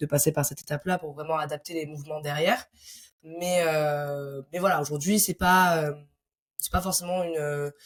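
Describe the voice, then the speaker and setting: A woman's somewhat breathy voice, very deep and low in pitch, with fairly even intonation at a moderate pace. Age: 20s. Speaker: sports coach. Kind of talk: podcast interview. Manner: hesitant with fillers.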